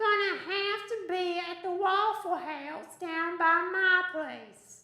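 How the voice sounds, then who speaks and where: A female-sounding put-on character voice, extremely high in pitch, talks at a very slow pace with hardly any pauses. A clear echo surrounds it. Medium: stage play. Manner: brisk, unflappable.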